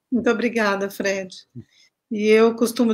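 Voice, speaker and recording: A woman speaks at a fairly high pitch in a monotone, flat intonation. The recording is very clean, with a silent background. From Minas Gerais, Brazil. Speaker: researcher, artist and author. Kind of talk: interview.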